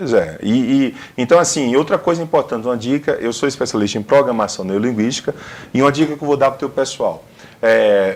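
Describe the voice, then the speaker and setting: A man with a northeastern Brazilian accent, lively intonation and a fairly quick pace. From Brazilian Northeast. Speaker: career consultant. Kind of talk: TV interview. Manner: matches interviewer's speed.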